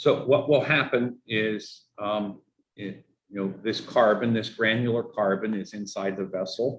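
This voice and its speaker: A man with a Pittsburgh accent speaks fairly slowly at a fairly low pitch, his intonation fairly even. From Pittsburgh, US. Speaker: water utility engineer. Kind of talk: community meeting Q&A. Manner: halting, many fillers.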